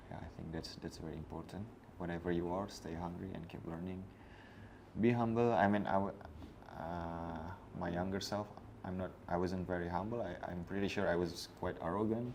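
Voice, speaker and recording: A man's very deep, low voice at a moderate pace, with long, frequent pauses, fairly even intonation, and audible room echo. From Indonesia. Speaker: coffee professional. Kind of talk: interview. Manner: halting.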